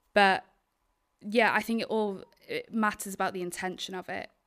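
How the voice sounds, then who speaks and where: On a very clean recording with a silent background, a woman with a north Welsh accent speaks in a monotone, flat way. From Wales, Isle of Anglesey (north Wales). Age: 20s. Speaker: documentary filmmaker. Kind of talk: interview. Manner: halting, many fillers.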